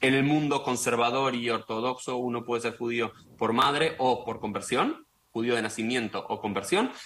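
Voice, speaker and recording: A plain, everyday voice from a man, mid-pitched and fairly flat in intonation, at a moderate tempo. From Argentina. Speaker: rabbi and political scientist. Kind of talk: radio interview.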